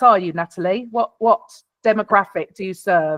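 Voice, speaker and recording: The speaker has a South London accent and talks at a moderate pace. The sound is dry and close, with no echo. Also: woman. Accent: British, South London. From South London, England. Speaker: podcast production expert. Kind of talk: workshop Q&A advice. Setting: video call.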